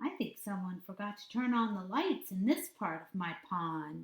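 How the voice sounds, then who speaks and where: Using a put-on character voice at medium pitch, a woman speaks with big swings in loudness. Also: moderate pace. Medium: read story. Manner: wide-eyed, enthusiastic.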